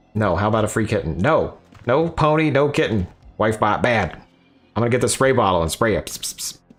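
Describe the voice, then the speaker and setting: Over music in the background, a man speaks fairly quickly at a medium pitch with lively intonation. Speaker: gaming livestreamer. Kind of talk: casual livestream chat. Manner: animated.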